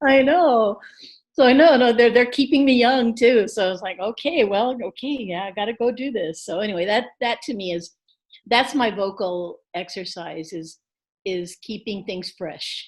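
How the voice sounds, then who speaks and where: An unremarkable speaking voice from a woman, fairly high in pitch, with lively intonation, big swings in loudness and a moderate pace. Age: 60s. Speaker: singer-songwriter. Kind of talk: interview.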